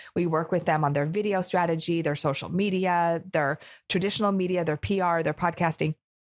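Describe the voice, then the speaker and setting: Over a silent background on a very clean recording, a woman with a fairly low voice talks at a fairly quick pace in an animated tone. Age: 40s. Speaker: entrepreneur and video marketing coach. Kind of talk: interview.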